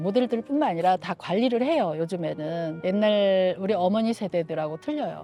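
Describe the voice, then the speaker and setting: Against music in the background, a woman speaks at a moderate pace with very wide pitch swings. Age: 60s. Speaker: senior model instructor. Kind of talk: street interview answer. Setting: outdoors.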